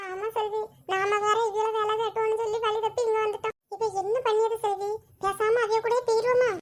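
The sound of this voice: A woman's cartoonish character voice, extremely high-pitched, monotone and flat, at a fairly slow pace.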